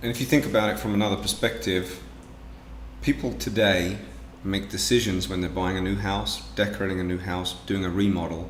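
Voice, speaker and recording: Audible room echo surrounds a man with a very deep, low pitch and an English accent, who talks at a moderate pace with lively intonation. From England. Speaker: business owner. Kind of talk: interview.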